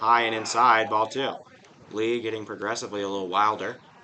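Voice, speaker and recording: A man's fairly low-pitched voice, monotone and flat, at a fairly quick pace amid noticeable background noise. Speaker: baseball play-by-play broadcaster. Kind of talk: live commentary.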